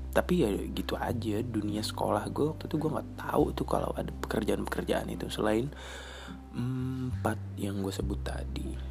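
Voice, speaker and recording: Over noticeable background noise and audible room echo, a man speaks at a moderate pace in a fairly low pitch with very wide pitch swings. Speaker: podcast host. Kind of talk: casual solo monologue. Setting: home recording in rented room. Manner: rambling with many fillers and hesitations.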